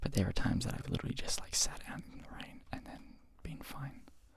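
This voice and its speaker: A man whispers over noticeable background noise. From Australia. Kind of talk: ASMR whisper ramble, casual talk to camera. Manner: quiet, slow, rambling, whispery.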